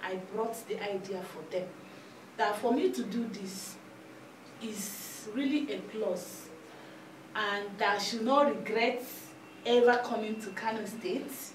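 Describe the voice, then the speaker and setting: A woman speaks at a fairly high pitch and a fairly slow pace, with long, frequent pauses and big swings in loudness. Her pitch varies in an ordinary way, over light background noise and audible room echo. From southeastern Nigeria. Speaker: telecommunications engineer; interviewee. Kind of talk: interview. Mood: proud, animated. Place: studio. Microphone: handheld.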